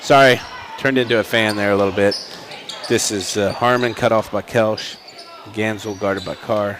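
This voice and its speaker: Here a man with an American accent talks at a moderate pace and a fairly low pitch, in a monotone, flat intonation. Long, frequent pauses break up his speech over noticeable background noise. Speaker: high school basketball play-by-play announcer. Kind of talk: live sports commentary.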